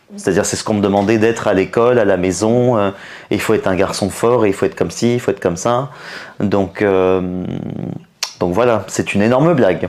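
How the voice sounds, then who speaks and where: A man's fairly low voice at a fairly quick pace, with long, frequent pauses, ordinary pitch variation, very even loudness and noticeable background noise. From France, Paris. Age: 30s. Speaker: comedian. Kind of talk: interview. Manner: hesitant, many fillers.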